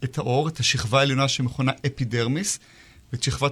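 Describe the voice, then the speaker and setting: A man's voice at medium pitch. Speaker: dermatologist. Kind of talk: interview.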